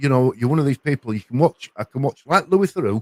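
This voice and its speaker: A man with a Yorkshire accent speaks at a medium pitch, and the sound is dry and close with no echo. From Yorkshire, northern England. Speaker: panel guest on a livestream chat. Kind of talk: casual chat. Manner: halting, with frequent repetitions.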